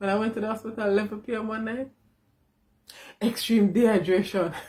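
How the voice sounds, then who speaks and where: Her voice is fairly high-pitched and somewhat breathy with a dark, mellow tone, moving at a very fast pace in a monotone, flat delivery. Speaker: vlogger. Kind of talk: casual vlog.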